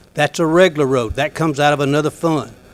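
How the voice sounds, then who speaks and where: Talking at a fairly quick pace in an Alabama accent, a man with a fairly high pitch keeps his intonation fairly even. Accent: Southern US (Alabama). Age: 60s. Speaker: county commissioner. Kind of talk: public meeting address.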